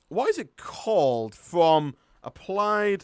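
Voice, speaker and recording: A man speaks with a Yorkshire accent. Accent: Northern English (Yorkshire). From northern England, North Yorkshire. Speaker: gaming streamer. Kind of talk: live stream gameplay commentary. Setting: live stream with chat. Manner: laid-back.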